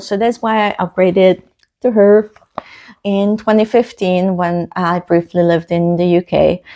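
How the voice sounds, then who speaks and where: Speaking at a fairly slow pace in a Hungarian accent, a woman has a dark, mellow tone. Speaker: book vlogger. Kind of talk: casual vlog talk. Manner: hesitant, many fillers.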